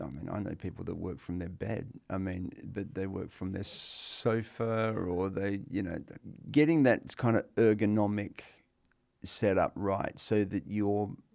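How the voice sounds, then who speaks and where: In an unremarkable speaking voice, a man talks at a fairly slow pace, fairly low in pitch with ordinary pitch variation. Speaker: physiotherapist. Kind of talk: interview answer.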